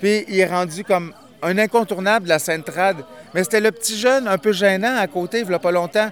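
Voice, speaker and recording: Noticeable background noise beneath a moderate pace and fairly even intonation. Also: man. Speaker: event organizer and MC. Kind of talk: casual interview. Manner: hesitant, filler-heavy.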